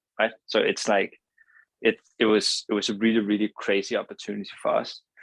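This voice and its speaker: The man's fairly even intonation comes through in a dry, close sound with no echo. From Denmark. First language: Danish. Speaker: company co-founder, entrepreneur. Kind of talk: interview. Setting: podcast. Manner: halting, many fillers.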